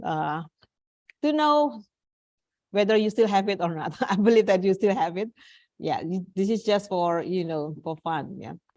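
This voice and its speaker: Against a quiet background, a woman with an Indonesian accent speaks at a moderate pace and medium pitch with lively intonation. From Indonesia, East Java. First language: Javanese. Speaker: English teacher. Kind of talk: online class lecture.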